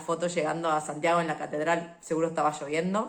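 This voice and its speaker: A woman talks at a fairly quick pace in an animated tone with a fairly low pitch. Audible room echo surrounds her voice. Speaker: podcast host and travel vlogger. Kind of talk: casual solo podcast monologue. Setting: home recording on video. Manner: fast.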